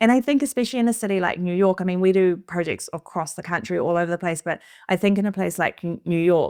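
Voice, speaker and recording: In a very clean recording with a silent background and a dry, close sound with no echo, a woman talks very fast at medium pitch in a New Zealand accent, with ordinary pitch variation. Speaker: interior designer. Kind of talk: casual conversation.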